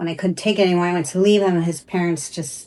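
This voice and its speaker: A woman's fairly low voice in monotone, flat intonation. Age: 60s. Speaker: stylist. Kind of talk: interview. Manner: conversational, filler-heavy.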